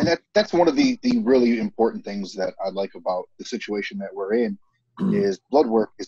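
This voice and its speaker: A medium-pitched man with an American accent and a dark, mellow tone talks at a fairly quick pace, with very wide pitch swings, big swings in loudness, and a dry, close sound with no echo. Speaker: military veteran and former bricklayer. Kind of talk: casual chat.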